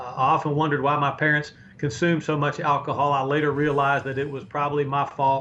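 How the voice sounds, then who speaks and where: Speech comes at a very fast pace with an American accent against noticeable background noise. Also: man, fairly high pitch for a man. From North Carolina, Chapel Hill. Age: 60s. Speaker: sports play-by-play broadcaster. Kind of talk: interview. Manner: animated.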